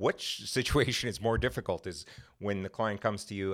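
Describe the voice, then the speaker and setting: Fairly low-pitched and fairly quick, a man speaks in an unremarkable speaking voice. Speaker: podcast host, criminal defence lawyer. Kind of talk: interview.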